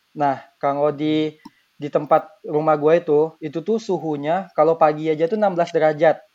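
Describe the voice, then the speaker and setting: A man talks at a moderate pace in a normal speaking voice, fairly high in pitch, with fairly even intonation. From Bengkulu, Indonesia. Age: 20s. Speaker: university student. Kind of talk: casual chat.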